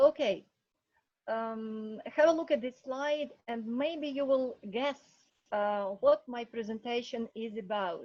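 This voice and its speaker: A woman with a Ukrainian accent speaks at a very slow pace in a high pitch, her loudness swinging widely while her pitch varies in an ordinary way. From Ukraine. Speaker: English teacher. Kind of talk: online class presentation.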